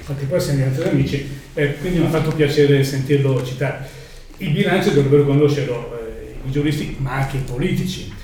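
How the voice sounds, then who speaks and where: Very fast and fairly even in intonation, a man talks at a fairly high pitch. Noticeable background noise and audible room echo accompany him. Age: old. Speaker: audience member. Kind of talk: audience question.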